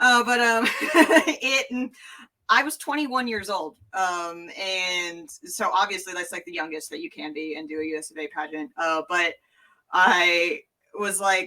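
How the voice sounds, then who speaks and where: A woman with a medium pitch talks at a fairly slow pace with lively intonation. Her bright, sharp tone swings widely in loudness. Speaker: entertainer and drag pageant performer. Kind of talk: casual chat. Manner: halting, many fillers.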